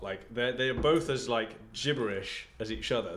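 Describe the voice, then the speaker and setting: Medium-pitched male speech in an English accent with fairly even intonation. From England. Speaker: podcast co-host.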